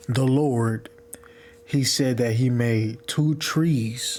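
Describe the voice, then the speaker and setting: A man speaks quietly in a flat monotone. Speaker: religious video maker. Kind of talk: religious teaching monologue. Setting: at home, partner sleeping in room. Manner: quiet, low volume.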